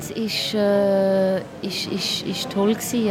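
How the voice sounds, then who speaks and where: The delivery is very slow, with monotone, flat intonation. Music plays in the background. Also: woman. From Basel, Switzerland. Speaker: musician and filmmaker. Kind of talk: interview. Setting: restaurant. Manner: halting.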